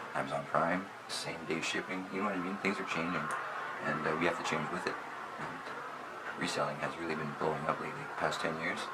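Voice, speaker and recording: Against noticeable background noise and audible room echo, a man speaks with a very deep, low pitch. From Canada, Sudbury, Ontario. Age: 30s. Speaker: online clothing reseller. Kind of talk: casual vlog monologue. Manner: casual, hesitant with many fillers.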